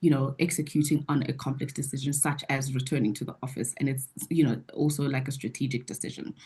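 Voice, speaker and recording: A woman's somewhat breathy voice in a dark, mellow tone, against a quiet background. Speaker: webinar presenter. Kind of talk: webinar Q&A. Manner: fast.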